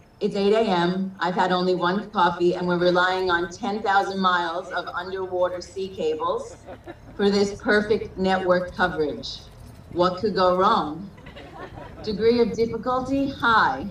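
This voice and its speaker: Amid noticeable background noise and audible room echo, a woman speaks at a fairly slow pace with a medium pitch and fairly even intonation. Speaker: unofficial wedding officiant. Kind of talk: wedding ceremony address. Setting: video call.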